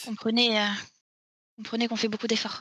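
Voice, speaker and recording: Putting on a raspy character voice, a woman talks fairly quickly at a fairly high pitch with monotone, flat intonation. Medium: actual play.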